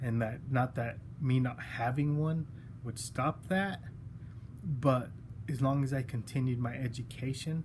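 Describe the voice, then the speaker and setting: A man speaks at a fairly slow pace with long, frequent pauses, his voice medium in pitch and somewhat breathy. His intonation is fairly even, and audible room echo surrounds him. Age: 40s. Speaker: college student giving class speech. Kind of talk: self-introduction speech. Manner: halting, many fillers.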